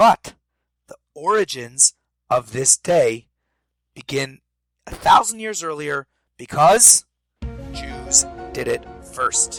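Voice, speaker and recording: Over music in the background, a man talks at a very slow pace with long, frequent pauses, the sound dry and close with no echo. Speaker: rabbi, podcast host. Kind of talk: podcast talk on religious history.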